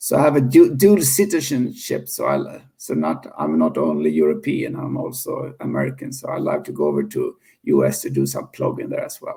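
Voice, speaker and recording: In a Swedish accent, a man speaks at a moderate pace with hardly any pauses. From Sweden. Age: 50s. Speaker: founder of a cleanup movement. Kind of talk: interview. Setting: podcast interview. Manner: halting, many repetitions.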